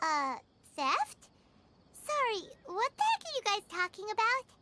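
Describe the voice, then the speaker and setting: Squeaky and extremely high in pitch, a put-on character voice moves at a fairly slow pace with a playful tone. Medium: video game. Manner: playful, teasing.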